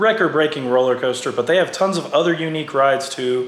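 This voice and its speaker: The man speaks with ordinary pitch variation. Noticeable background noise and audible room echo fill the recording. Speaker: theme park vlogger. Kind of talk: voiceover narration. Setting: recorded at home.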